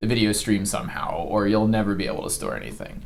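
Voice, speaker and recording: Audible room echo surrounds a man speaking at a medium pitch. Background noise is noticeable. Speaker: gaming youtuber. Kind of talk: tutorial. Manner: tends to get loud; many filler ums, halting. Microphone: cheap lapel microphone.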